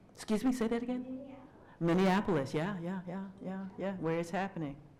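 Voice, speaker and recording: Room echo can be heard around a woman's voice. Her pitch varies in an ordinary way. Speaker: minister and speaker. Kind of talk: lecture with Q&A.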